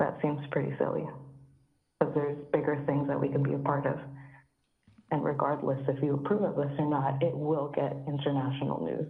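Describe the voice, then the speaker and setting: A woman speaks in a very deep, low voice that is shaky and monotone, her loudness very even and her pace moderate. Long, frequent pauses break up her speech, and room echo is audible. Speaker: public commenter, mother and teacher. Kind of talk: public comment at council meeting. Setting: phone call. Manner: shaky voice.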